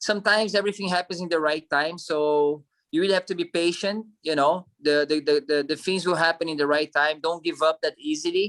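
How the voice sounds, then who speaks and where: With a strong non-native accent, the speaker talks at a fairly quick pace with hardly any pauses in a very clean recording with a silent background. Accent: strong foreign. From Brazil. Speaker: actor and model. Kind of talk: interview.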